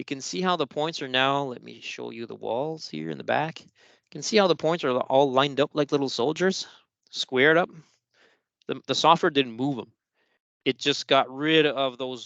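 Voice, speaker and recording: This man's voice sits fairly high, with a bright, sharp tone and ordinary pitch variation, recorded dry and close with no echo against a quiet background. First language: French. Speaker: software trainer. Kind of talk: tutorial. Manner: casual, conversational.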